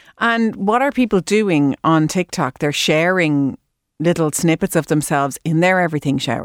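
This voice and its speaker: With an Irish accent, a woman talks at a moderate pace in a fairly low pitch, her intonation lively and her loudness very even, on a very clean recording with a silent background and a dry, close sound with no echo. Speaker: radio health show host. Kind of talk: radio interview. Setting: studio.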